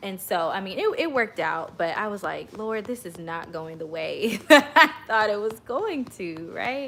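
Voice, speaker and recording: Talking with hardly any pauses, a woman with an American accent has a fairly high pitch, very wide pitch swings and big swings in loudness. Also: moderate pace. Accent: slight country. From Oklahoma. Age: 30s. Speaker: worship leader and channel host. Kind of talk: casual livestream story time.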